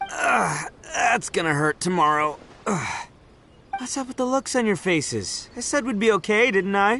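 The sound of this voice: Putting on a character voice, a man talks at a fairly slow pace with a high pitch, a bright, sharp tone, vocal fry and lively intonation.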